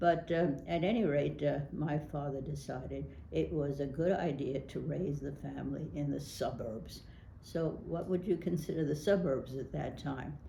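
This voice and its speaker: A woman's very deep, low voice with an American accent, ordinary pitch variation, a moderate pace, and audible room echo. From New York City (Brooklyn). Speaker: local politician. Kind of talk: oral history interview. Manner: hesitant, many fillers.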